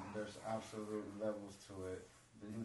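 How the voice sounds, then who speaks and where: Noticeable background noise and audible room echo surround a man talking at a moderate pace with a fairly low pitch and monotone, flat intonation. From Mexico. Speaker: Muay Thai fighter. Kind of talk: casual interview chat. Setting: studio.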